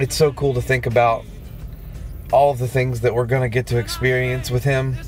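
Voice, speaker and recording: Faint music plays in the background as the voice moves at a moderate pace in a monotone, flat delivery, the sound dry with no echo. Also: man. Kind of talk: casual vlog chat. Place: car. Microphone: phone near.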